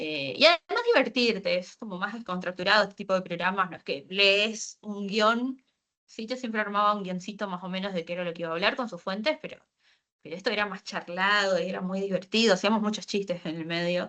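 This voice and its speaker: A woman speaks at medium pitch in a bright, sharp tone at a fairly quick pace. Her loudness swings widely over a quiet background. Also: ordinary pitch variation. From Argentina, Posadas, Misiones. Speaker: science communicator, data engineer. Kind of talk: online talk. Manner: fast; hesitant fillers.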